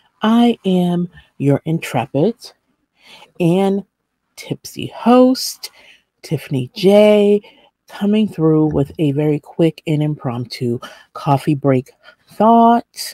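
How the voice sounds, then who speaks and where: A woman's fairly low, dark and mellow voice at a very slow pace, with very wide pitch swings, long and frequent pauses, a quiet background and a dry sound with no echo. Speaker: vlog host. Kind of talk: casual vlog chat. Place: home room. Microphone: webcam.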